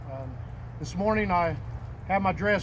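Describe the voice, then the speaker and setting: Moderate-paced speech with audible room echo. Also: man. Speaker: Marine veteran, memorial speaker. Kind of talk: memorial speech. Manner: loud; halting, many fillers.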